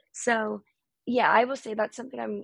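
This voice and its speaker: A woman with an American accent, fairly quick, with vocal fry. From North Carolina, US. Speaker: singer-songwriter. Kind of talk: casual interview conversation. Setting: video call.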